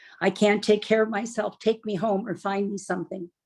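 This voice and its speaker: A woman with a Canadian accent talks at a fairly quick pace in a medium pitch, her intonation fairly even and touched with vocal fry. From Canada. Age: 70s. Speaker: retired bank manager, network marketing distributor. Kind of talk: personal testimony in interview.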